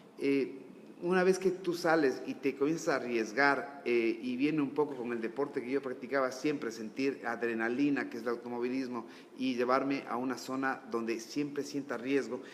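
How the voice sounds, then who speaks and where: Noticeable background noise sits behind this recording. A man talks at a medium pitch. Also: ordinary pitch variation, moderate pace. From Ecuador, Ambato. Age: 30s. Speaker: businessman. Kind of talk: interview.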